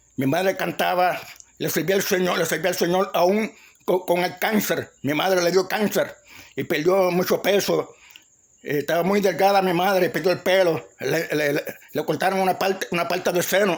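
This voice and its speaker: Fairly even intonation from a high-voiced man at a moderate pace. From Puerto Rico, Ponce. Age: 60s. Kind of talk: testimony. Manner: halting, many repetitions and restarts.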